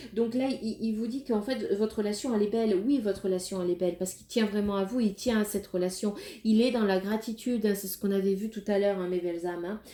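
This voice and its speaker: A woman speaks at a very fast pace in a dark, mellow tone. Her pitch is medium and her intonation fairly even. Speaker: tarot card reader. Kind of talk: tarot reading. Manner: hesitant, many fillers.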